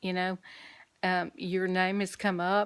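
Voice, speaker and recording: A woman with an Alabama accent at a fairly quick pace, in a very clean recording with a silent background. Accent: Southern US (Alabama). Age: 60s. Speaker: vlogger and caregiver. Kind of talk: casual vlog update.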